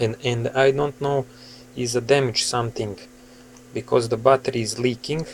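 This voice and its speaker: A man speaks in a monotone, flat voice at a moderate pace, with long, frequent pauses. Light background noise is present. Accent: Serbian. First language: Serbian. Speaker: hobbyist asking for repair help. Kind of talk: casual tutorial-style vlog. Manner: halting, with many fillers. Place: home room. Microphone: phone near.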